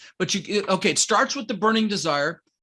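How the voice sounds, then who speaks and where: Animated, fairly quick speech from a man with a bright, sharp tone. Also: quiet background. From Denver, US (immigrated from the Netherlands at six). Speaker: real estate investor and coach. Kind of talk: podcast interview.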